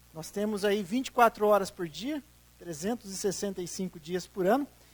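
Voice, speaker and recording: In a São Paulo interior accent, a man talks at a moderate pace. His intonation is lively and his tone animated. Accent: Campinas accent, noticeable to local audience. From Brazil, Campinas, interior of São Paulo. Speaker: tourism development consultant. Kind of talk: public presentation. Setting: auditorium with audience.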